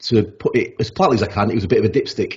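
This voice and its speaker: In a South Yorkshire accent, a man talks at a very fast pace in a somewhat breathy voice. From South Yorkshire (Rotherham). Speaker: sleep expert. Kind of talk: podcast interview. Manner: halting, many repetitions.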